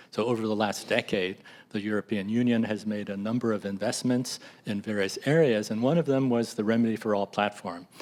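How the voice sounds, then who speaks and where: This fairly quick speech comes in a plain, everyday voice with fairly even intonation. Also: man. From US. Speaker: drug repurposing nonprofit leader. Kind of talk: panel discussion. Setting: hybrid public meeting.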